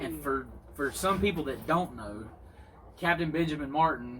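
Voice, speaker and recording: Using an American accent, a man speaks at medium pitch with long, frequent pauses and audible room echo. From US South. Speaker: pipe smoking channel host. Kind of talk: casual chat. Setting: outdoors.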